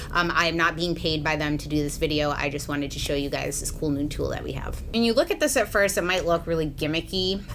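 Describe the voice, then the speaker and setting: Very fast speech runs on through noticeable background noise. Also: woman, very deep, low pitch for a woman, ordinary pitch variation. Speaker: beauty influencer and hairdresser. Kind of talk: hair tutorial vlog. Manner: casual, chatty.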